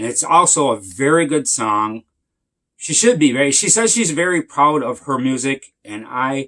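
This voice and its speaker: A man speaks with a bright, sharp tone at a fairly high pitch. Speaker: music reviewer. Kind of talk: casual video review. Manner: halting.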